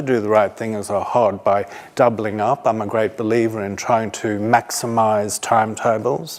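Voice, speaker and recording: A medium-pitched man with an Australian accent speaks at a moderate pace. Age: 60s. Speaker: teacher. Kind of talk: conference talk.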